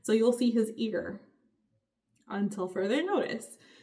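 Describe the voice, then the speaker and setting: This woman's voice sits at a fairly high pitch. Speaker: lifestyle vlogger. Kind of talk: casual vlog talk to camera.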